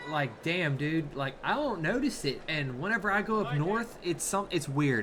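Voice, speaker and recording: A man with a Southern US accent talks at a fairly high pitch with lively intonation. His loudness stays very even over noticeable background noise. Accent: Southern drawl. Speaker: sumo commentator. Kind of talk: casual live commentary.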